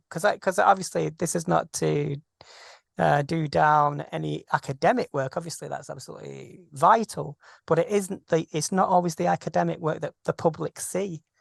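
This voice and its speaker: A British accent over a quiet background. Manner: fast.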